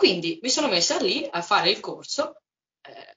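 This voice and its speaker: A woman is speaking. Her pitch swings very widely. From Umbria, Italy. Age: 20s. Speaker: musician and psychology student. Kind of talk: casual interview. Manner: energetic, sunny.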